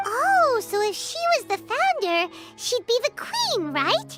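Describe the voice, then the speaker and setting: A squeaky, put-on character voice at an extremely high pitch moves at a fairly slow pace. Clear music plays in the background. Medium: game stream. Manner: energetic, chatty.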